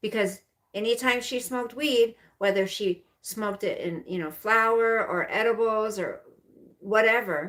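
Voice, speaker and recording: With an unremarkable speaking voice, a woman talks at a fairly slow pace in a fairly high pitch with ordinary pitch variation, on a very clean recording with a silent background. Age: 50s. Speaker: livestreamer. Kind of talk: casual live stream chat. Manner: rambling with fillers.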